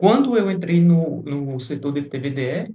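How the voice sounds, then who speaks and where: A man speaks with lively intonation at a high pitch, his tone dark and mellow. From Brazil, Recife, Pernambuco. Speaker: TVDE fleet operator and YouTuber. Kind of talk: casual vlog talk to camera. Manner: halting, many fillers and restarts.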